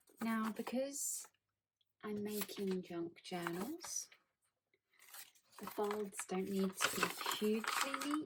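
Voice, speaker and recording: A soft-spoken woman talks very slowly at a fairly high pitch. Her intonation is lively, with long, frequent pauses. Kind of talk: ASMR crafting video, soft-spoken talk to camera.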